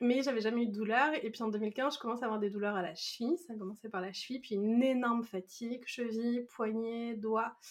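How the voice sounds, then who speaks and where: At a fairly quick pace, a woman talks in a fairly high voice with fairly even intonation. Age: 30s. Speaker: self-compassion coach and meditation teacher. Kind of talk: casual interview. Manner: hesitant, many fillers and repetitions.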